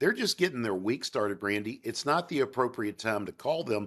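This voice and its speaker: A man with a Southern US accent talks very fast in an animated tone with very wide pitch swings. The recording is very clean, with a silent background. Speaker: sales trainer. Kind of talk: interview.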